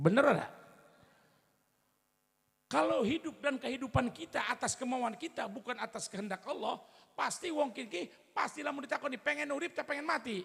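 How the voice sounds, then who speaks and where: Lively intonation runs through speech at a fairly quick pace broken by long, frequent pauses. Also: man, extremely high pitch for a man. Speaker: Islamic preacher. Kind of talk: religious sermon.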